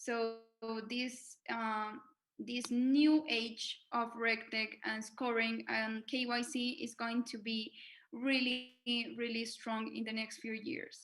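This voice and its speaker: A woman with a Spanish accent, a fairly high pitch, monotone, flat intonation and a very slow pace. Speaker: fintech association manager. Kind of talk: webinar presentation. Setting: video call. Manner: halting, many fillers and repetitions.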